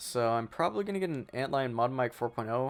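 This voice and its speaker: This man's voice sits at a medium pitch. He talks at a fairly quick pace. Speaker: gaming youtuber. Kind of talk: gameplay commentary. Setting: home room, not sound treated. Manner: monotone; rambling, casual.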